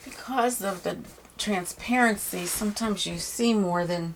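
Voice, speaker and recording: Over noticeable background noise, a soft-spoken woman talks in a relaxed tone. Her pitch is medium, with ordinary variation. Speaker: painting teacher. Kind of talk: tutorial.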